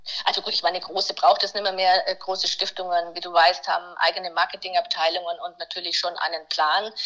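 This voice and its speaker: Over noticeable background noise, a woman at medium pitch speaks at a fairly quick pace in a monotone, flat intonation, with hardly any pauses. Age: 50s. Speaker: nonprofit communications consultant. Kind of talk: casual interview. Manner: halting.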